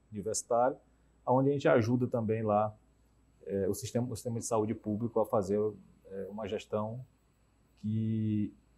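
A man's somewhat breathy voice, dark and mellow in tone, at medium pitch and a moderate pace. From Teresina, Piauí, Brazil; Piauí, Brazil. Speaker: cardiologist and health insurer executive; interview guest. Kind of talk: TV debate interview. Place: studio. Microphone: lapel.

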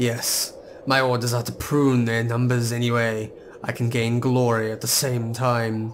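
Over clear background noise, a man puts on a character voice at medium pitch and a moderate pace. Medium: game stream.

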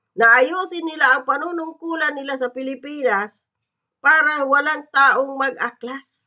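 Raised and projected, a woman's high voice has a bright, sharp tone. She speaks at a fairly slow pace. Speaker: political commentator vlogger. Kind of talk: angry political rant, scornful and cursing. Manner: loud, heated, sarcastic, mocking with laughs; animated, accusatory, rhetorical questions.

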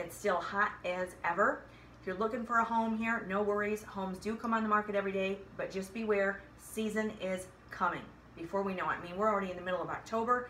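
Speaking very fast, a woman keeps her intonation fairly even. Light background noise and audible room echo are present. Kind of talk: casual vlog chat. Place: home room. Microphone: phone near.

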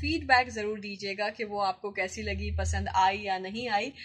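An ordinary speaking voice with fairly even intonation comes through over a quiet background. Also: woman. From Pakistan. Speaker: radio presenter and voice-over artist. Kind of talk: casual talk to camera. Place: office. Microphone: phone near.

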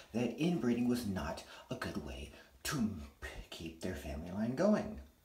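Speech at a moderate pace comes through audible room echo and light background noise. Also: man. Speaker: vlogger. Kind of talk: casual vlog rant. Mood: angry, defiant. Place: bathroom. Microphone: phone near.

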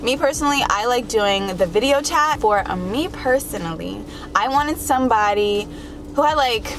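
Over clear background noise, a woman with a fairly high pitch speaks at a moderate pace with lively intonation.

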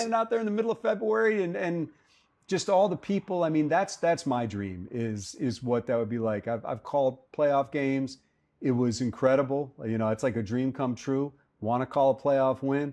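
This man talks at a fairly quick pace, his dark, mellow tone swinging very widely in pitch. The background is quiet. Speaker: radio play-by-play announcer for a football team. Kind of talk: interview answer. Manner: earnest, reflective. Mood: earnest, passionate. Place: cafe.

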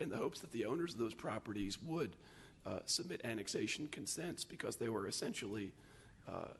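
This man's voice is somewhat breathy and medium in pitch, with very wide pitch swings. He speaks at a fairly quick pace. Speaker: city planning staff presenter. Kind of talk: presentation to city council. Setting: city council meeting. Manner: halting.

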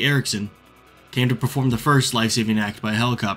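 A man at a fairly quick pace with fairly even intonation, music in the background. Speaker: history channel narrator. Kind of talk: documentary narration.

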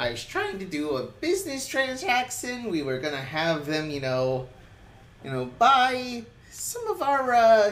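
A put-on character voice, female-sounding and fairly high in pitch, comes through. It moves at a fairly slow pace. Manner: wheedling, slick, self-excusing.

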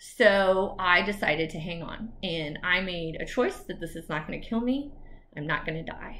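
A woman speaks fairly slowly at a medium pitch, her bright, sharp tone animated and her pitch varying in an ordinary way. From Texas. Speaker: attorney and YouTuber. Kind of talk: personal story vlog. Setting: video recorded alone. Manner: casual, animated. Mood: earnest, emphatic, inspirational. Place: home room. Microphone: webcam.

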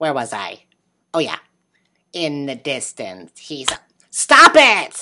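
A female-sounding cartoonish character voice with a very deep, low pitch moves at a fairly slow pace with long, frequent pauses. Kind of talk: puppet show hosting. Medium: puppet. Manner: upbeat, excited.

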